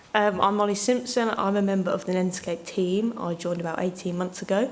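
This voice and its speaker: Fairly quick speech from a woman at medium pitch, fairly even in intonation, with noticeable background noise and audible room echo. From Northampton, England. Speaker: community engagement officer. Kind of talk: conference panel introduction.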